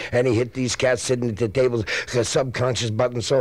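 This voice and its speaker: A man delivers his words at a fairly quick pace while noticeable background noise carries on. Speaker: comedian. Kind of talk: hipster spoken-word comedy monologue. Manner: jazzy hipster slang, rhythmic.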